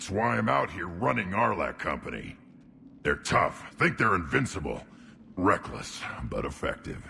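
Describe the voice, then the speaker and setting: A man's put-on character voice, very deep and low, with very wide pitch swings at a moderate pace over clear background noise. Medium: video game. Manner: gruff, eager for violence.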